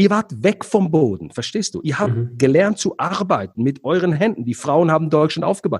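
A high-pitched man speaks at a fairly quick pace. His pitch swings very widely. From Switzerland. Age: 40s. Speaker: entrepreneur and negotiator, former radiologist. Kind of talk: interview.

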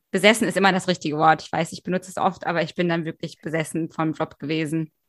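A woman at a fairly quick pace, fairly even in intonation, with a dry, close sound and no echo. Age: 20s. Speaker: novelist. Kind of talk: casual chat.

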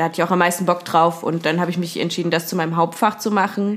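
A woman's ordinary speaking voice at medium pitch with fairly even intonation. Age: 20s. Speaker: trained singer. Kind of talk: casual chat.

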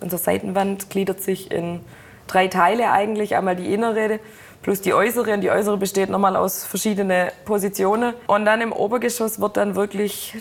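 A woman speaks at a fairly quick pace and medium pitch. Her intonation stays monotone and flat. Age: 20s. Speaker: production supervisor in car manufacturing. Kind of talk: interview.

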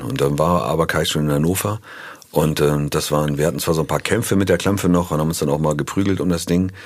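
A man's very deep, low voice, very fast and at very even loudness. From northern Germany, near Hanover. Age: 50s. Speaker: musician. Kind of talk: casual interview.

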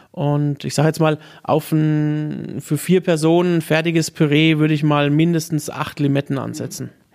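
A man talks at a moderate pace with fairly high pitch. His intonation is monotone and flat. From Lower Franconia, Germany (near Würzburg). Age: young. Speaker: chef. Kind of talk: casual interview. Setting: live broadcast set up in a restaurant.

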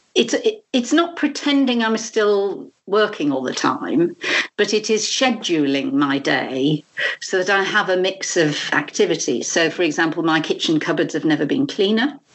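Her British accent comes with a medium pitch, very wide pitch swings, and a moderate pace. The woman keeps her loudness very even. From UK. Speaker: arts management educator and trainer. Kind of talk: interview conversation. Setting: Skype call.

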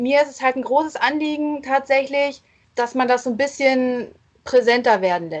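A woman speaks in a high voice at a moderate pace. Her loudness swings widely, while her pitch varies in an ordinary way. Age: 30s. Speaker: legal department assistant. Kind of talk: podcast interview.

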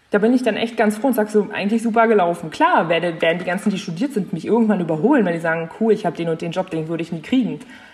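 Over noticeable background noise, a woman speaks very fast at a medium pitch with hardly any pauses. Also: ordinary pitch variation. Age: 20s. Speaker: young mother. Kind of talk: casual chat.

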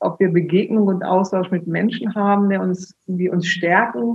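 A somewhat breathy woman at a moderate pace, with fairly even intonation. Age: 50s. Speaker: funeral speaker. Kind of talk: interview.

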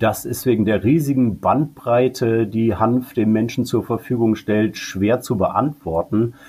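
The voice is somewhat breathy with a dark, mellow tone, very even loudness and ordinary pitch variation. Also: man, medium pitch for a man, fairly slow pace, hardly any pauses. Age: 40s. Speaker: cannabis advocacy group director. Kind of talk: interview.

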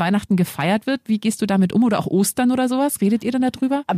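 Her voice somewhat breathy, a woman speaks at a fairly high pitch with ordinary pitch variation. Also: dry, close sound with no echo. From Lower Bavaria, Germany. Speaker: podcast host, single mother. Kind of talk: casual chat. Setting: studio.

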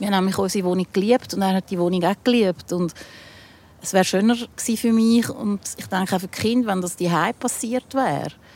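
A woman with a Zurich accent talks at a very fast pace in a medium pitch with ordinary pitch variation. The sound is dry and close, with no echo. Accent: Zurich Swiss German. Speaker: rock musician. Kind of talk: casual chat. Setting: outdoors.

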